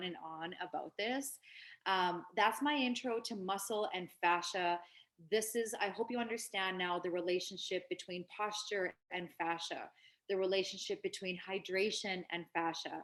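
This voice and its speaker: With an unremarkable speaking voice, a woman talks at a fairly slow pace with medium pitch and ordinary pitch variation. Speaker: wellness presenter. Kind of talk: online workshop lecture.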